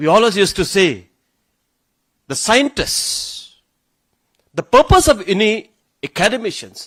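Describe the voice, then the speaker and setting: Close and dry with no echo, a man's high voice moves at a moderate pace. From Meghalaya, India (Garo community). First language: Garo. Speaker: government official / chief guest speaker. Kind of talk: ceremonial speech. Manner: halting, with restarts and repetitions.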